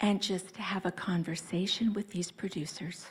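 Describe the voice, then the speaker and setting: A soft-spoken woman talks in a somewhat breathy voice. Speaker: personal brand consultant. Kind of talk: conference talk. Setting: stage with audience. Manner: animated.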